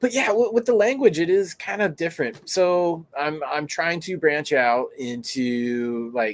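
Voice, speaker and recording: A man with an American accent talks with hardly any pauses. His fairly high pitch swings very widely. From United States. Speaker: grow show host. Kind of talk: casual chat.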